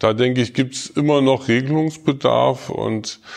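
A man speaks at a fairly slow pace. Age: 40s. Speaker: social worker at a youth welfare office, staff council candidate. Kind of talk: interview.

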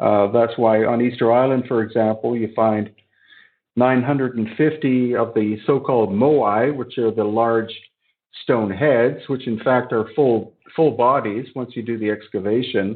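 A man's unremarkable speaking voice at a fairly slow pace, with fairly even intonation. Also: medium pitch for a man. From Canada. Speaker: researcher and author on ancient sites. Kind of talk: interview.

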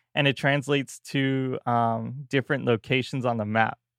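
A man speaks at a fairly slow pace in a plain, everyday voice. His pitch is medium and his intonation fairly even. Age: 20s. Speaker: gaming podcast host. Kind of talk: casual chat.

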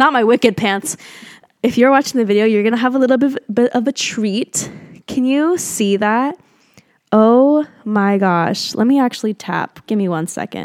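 The sound is dry and close with no echo as a woman with an ordinary speaking voice and a fairly high pitch talks with ordinary pitch variation. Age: 20s. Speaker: podcast host. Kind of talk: casual monologue. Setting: Airbnb in nature at sunset.

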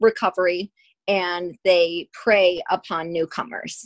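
In an American accent, a woman at medium pitch talks at a very slow pace with fairly even intonation, the sound dry and close with no echo. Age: 40s. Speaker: recovering addict, host's sister. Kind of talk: casual chat.

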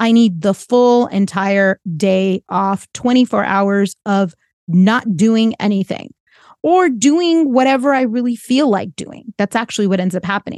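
A woman with an unremarkable speaking voice, fairly high in pitch, speaks at a fairly slow pace with lively intonation, recorded dry and close with no echo against a quiet background. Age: 40s. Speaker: life coach and podcast host. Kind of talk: solo podcast monologue.

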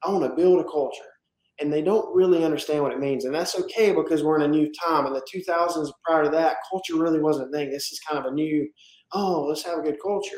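Talking at a very fast pace, a man with a Southern US accent holds a fairly high pitch and fairly even intonation. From South Carolina, US South. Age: 20s. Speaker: roofing company owner. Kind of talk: casual interview.

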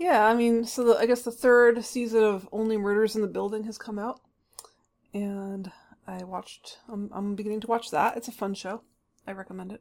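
A woman speaks in an ordinary speaking voice, fairly high in pitch, at a moderate pace. Her intonation stays fairly even while her loudness swings widely. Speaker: author and podcast co-host. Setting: remote recording.

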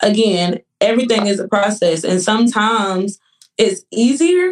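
A woman's plain, everyday voice at a fairly high pitch, with a fairly slow pace. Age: 20s. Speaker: nurse and author. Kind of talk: casual interview chat.

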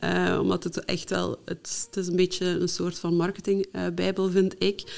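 A woman's fairly low voice comes through a very clean recording with a silent background. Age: 30s. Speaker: technical virtual assistant and trainer. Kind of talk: casual interview.

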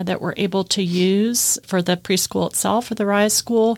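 In a very clean recording with a silent background, a woman with an American accent speaks at a fairly slow pace. Her medium-pitched voice stays in a flat monotone. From US Midwest. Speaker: school co-founder, educator, nonprofit executive. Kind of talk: interview.

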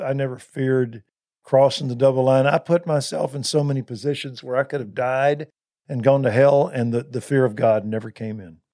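A man's medium-pitched, dark and mellow voice in a Texan accent, with big swings in loudness. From Texas (Waco). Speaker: pastor. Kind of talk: interview. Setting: studio.

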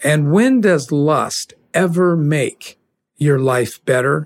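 Talking at a very slow pace, a man uses a fairly high pitch with ordinary pitch variation. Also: dry, close sound with no echo. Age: 60s. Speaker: podcast host and leadership speaker. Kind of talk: spoken bible commentary. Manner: earnest, conversational.

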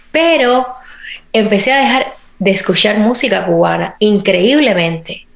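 A woman speaks at a fairly slow pace with a fairly high pitch and lively intonation. Noticeable background noise runs beneath her voice. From Cuba. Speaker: actress and podcast host. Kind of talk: interview.

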